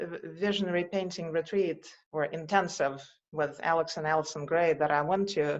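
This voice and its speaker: A woman with a Russian accent speaks at a moderate pace. Her fairly low pitch keeps a fairly even intonation. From Russia, Moscow. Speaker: visionary artist. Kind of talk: interview conversation.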